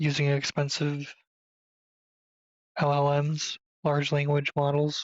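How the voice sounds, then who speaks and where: The speaker is soft-spoken. The pace is very slow. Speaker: gaming YouTuber. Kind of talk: tutorial. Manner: quiet, speaking softly; casual with hesitations.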